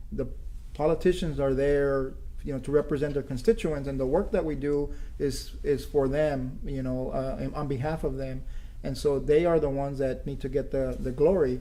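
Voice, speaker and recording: In a room with audible echo, a man with a fairly high pitch talks at a moderate pace with fairly even intonation. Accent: American. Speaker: city manager. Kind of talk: interview. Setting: city hall. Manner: quiet.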